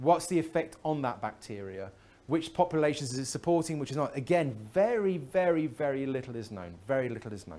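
The speaker has an English accent and lively intonation at a fairly quick pace. The recording is very clean, with a silent background. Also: man. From England. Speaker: chemist, conference speaker. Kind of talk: lecture. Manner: halting.

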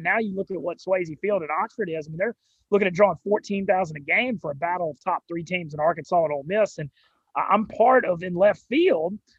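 With a Southern US accent, a man speaks at a high pitch with ordinary pitch variation. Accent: Southern US, noticeable drawl and twang. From Louisiana, US South. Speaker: sports media personality. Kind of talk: casual interview chat. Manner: energetic, loud in videos.

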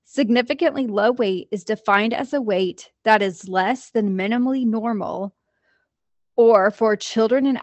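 In an unremarkable speaking voice, a woman with an American accent talks at a fairly slow pace, her fairly high pitch showing ordinary variation. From US Midwest, Jasper, Indiana. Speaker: licensed therapist, podcast co-host. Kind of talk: educational chat; reading aloud.

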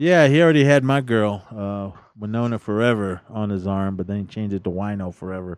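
A man talks in an ordinary speaking voice at a fairly low pitch, with ordinary pitch variation and a fairly quick pace with hardly any pauses. The recording is very clean with a silent background. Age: 40s. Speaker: podcast co-host, film reviewer. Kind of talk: casual chat.

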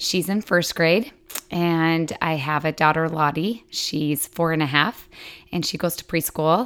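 On a very clean recording with a silent background, a woman with an American accent speaks at a very deep, low pitch and a fairly slow pace with fairly even intonation. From Utah. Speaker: stay-at-home mom. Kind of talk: casual chat.

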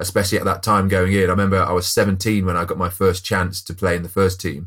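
A man with a West Midlands accent, very deep and low in pitch, at a very fast pace, on a very clean recording with a silent background. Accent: English Midlands (Coventry). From Coventry, English Midlands. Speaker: former professional rugby player, business co-founder. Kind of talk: interview conversation.

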